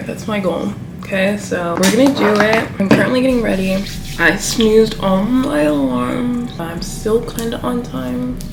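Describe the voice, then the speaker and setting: Over noticeable background noise, a woman at a medium pitch speaks at a fairly slow pace with very wide pitch swings. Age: 20s. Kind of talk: casual vlog talk to camera.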